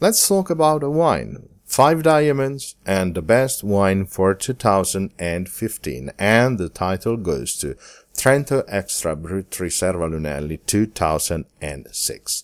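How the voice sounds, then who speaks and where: In a very clean, dry, close recording with a silent background and no echo, a man with an Italian accent speaks very slowly at a fairly low pitch, with very wide pitch swings and hardly any pauses. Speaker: wine podcast host. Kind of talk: scripted narration.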